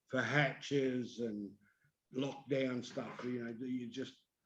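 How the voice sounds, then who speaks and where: Delivered in an Australian accent, the speech is monotone and fairly slow. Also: man. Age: 60s. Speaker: paramotor pilot and motor racing mechanic. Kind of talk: casual chat.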